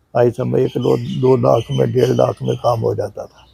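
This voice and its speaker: With music playing in the background, a man speaks at a moderate pace. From Pakistan, Punjab (Gujrat). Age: 70s. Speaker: old age home resident. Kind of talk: interview.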